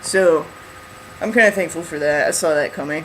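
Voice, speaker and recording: A man speaks with ordinary pitch variation. Noticeable background noise runs under the recording. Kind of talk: casual vlog update. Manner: rambling, filler-heavy.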